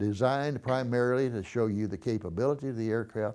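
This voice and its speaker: A man with a Texan accent has a dark, mellow tone and ordinary pitch variation in a very clean recording with a silent background. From Texas (Dallas). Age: 80s+. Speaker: war veteran. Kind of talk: oral history interview. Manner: halting.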